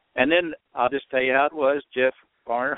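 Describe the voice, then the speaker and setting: Medium-pitched man with an American accent, a normal speaking voice, fairly quick pace. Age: 60s. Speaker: former reality show contestant. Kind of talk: casual chat. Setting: phone call.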